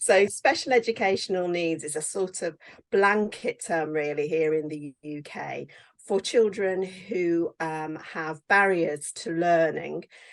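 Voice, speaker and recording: A woman with a British accent, fairly low-pitched, with ordinary pitch variation and a fairly slow pace, on a very clean recording with a silent background. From England. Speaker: teacher and author. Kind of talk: interview.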